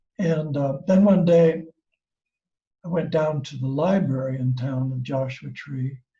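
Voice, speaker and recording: A man speaks at a fairly high pitch in a dark, mellow tone that is somewhat breathy. Audible room echo surrounds his voice. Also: ordinary pitch variation, fairly slow pace. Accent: American. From US Midwest, Ohio. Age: 70s. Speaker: craft teacher and seller. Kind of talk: personal storytelling. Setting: video call. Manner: relaxed, with fillers.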